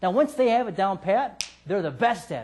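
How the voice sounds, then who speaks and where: Music plays behind a man who talks at a fairly quick pace in an animated tone. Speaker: sales trainer. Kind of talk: seminar lecture.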